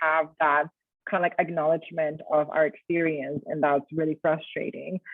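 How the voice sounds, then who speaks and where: A woman speaks with a Colombian accent. Her pace is fairly quick. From Colombia, Bogota. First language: Spanish. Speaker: writer and educator. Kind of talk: talk with Q&A. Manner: casual, many fillers.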